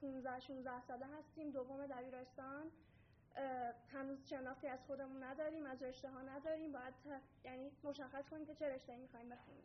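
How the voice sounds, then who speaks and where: Her voice high in pitch and monotone, flat in intonation, a woman speaks at a fairly quick pace amid audible room echo. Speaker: student presenter. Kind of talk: conference presentation.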